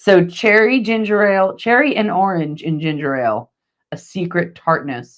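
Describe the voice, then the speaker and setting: Animated and swinging very widely in pitch, a woman speaks with a fairly low voice and an American accent. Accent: regional US accent merging berry and bury. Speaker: theme park news show co-host. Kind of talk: casual live-stream chat.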